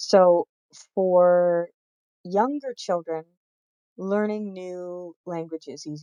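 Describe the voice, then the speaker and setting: In a Canadian accent, a woman speaks at a very slow pace with a fairly low pitch and a dark, mellow tone, the sound dry and close with no echo. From England. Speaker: college instructor. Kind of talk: lecture. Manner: hesitant, many fillers.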